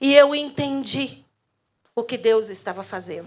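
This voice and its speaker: A woman's fairly slow, lively-toned delivery. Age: 60s. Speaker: pastor. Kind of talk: sermon. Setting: church.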